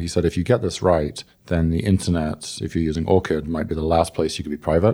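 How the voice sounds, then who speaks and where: A man with a very deep, low pitch talks at a very fast pace. His tone is dark and mellow, with fairly even intonation. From England.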